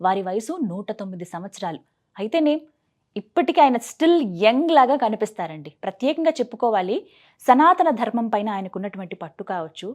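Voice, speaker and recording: Against a quiet background, a woman with a fairly high pitch talks with very wide pitch swings and big swings in loudness. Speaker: TV interviewer. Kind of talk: interview host introduction.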